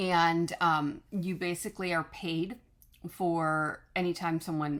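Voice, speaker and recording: A woman's calm-toned voice, fairly low in pitch, at a very slow pace, on a very clean recording with a silent background. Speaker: online business coach. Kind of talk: tutorial. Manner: halting, many fillers.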